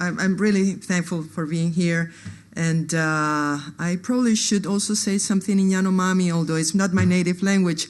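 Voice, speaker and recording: A woman's fairly low voice at a moderate pace, with fairly even intonation, very even loudness and audible room echo. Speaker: anthropologist. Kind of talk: conference talk. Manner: halting, many fillers.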